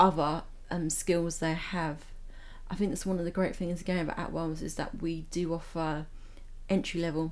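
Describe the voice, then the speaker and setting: A woman's fairly low voice with monotone, flat intonation at a moderate pace, with long, frequent pauses and audible room echo. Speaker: podcast host. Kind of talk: casual chat.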